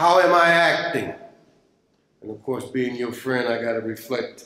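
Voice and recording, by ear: A man speaks with ordinary pitch variation. Strong room echo surrounds his voice.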